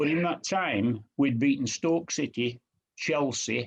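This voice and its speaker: With a northern English accent, a man speaks using ordinary pitch variation. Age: 80s+. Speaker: retired professional footballer. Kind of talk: interview answer.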